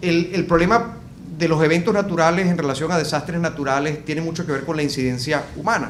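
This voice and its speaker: A man's high-pitched voice at a fairly quick pace, with audible room echo and noticeable background noise. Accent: Venezuelan. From Venezuela. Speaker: business consultant. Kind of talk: interview discussion. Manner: hesitant with fillers.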